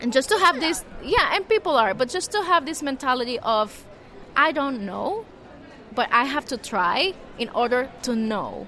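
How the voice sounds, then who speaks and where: A raised, projected voice at a moderate pace, with very wide pitch swings and noticeable background noise. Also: woman, high pitch for a woman. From Nicaragua. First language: Spanish. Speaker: journalist and membership program manager. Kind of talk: interview. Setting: journalism festival venue.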